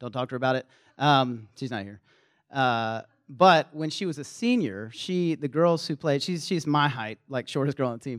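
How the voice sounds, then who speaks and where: Speaking with a slight Southern US accent, a man talks at a moderate pace and a fairly high pitch with ordinary variation. The sound is dry and close with no echo, on a very clean recording with a silent background. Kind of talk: sermon-style talk to students. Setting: live in front of a room audience. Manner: casual, conversational.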